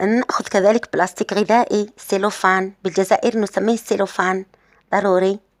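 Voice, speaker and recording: Fairly slow delivery with fairly even intonation and very even loudness, in a dry, close sound with no echo. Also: woman. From Algeria, Sétif. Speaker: beauty and hair-care vlogger. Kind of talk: tutorial. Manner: halting, many fillers and restarts.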